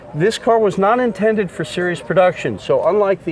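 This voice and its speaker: A man's voice over noticeable background noise. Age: 60s. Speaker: classic car owner. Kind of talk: casual interview.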